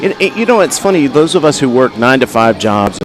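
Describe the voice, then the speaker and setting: A man speaks with a slight Southern US accent. His intonation is lively. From US South. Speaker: livestream commentator. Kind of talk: live commentary. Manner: casual, with many fillers.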